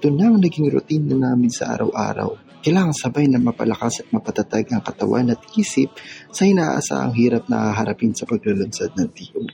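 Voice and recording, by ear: Faint music plays behind a man doing a put-on character voice at a medium pitch, with vocal fry and a husky, rough edge. His tone is dark and mellow, his intonation lively and his pace fairly quick.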